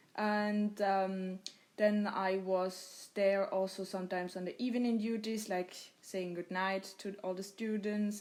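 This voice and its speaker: A woman speaks with a German accent. Her pitch is medium and her pace fairly slow. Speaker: podcast host. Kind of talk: casual chat.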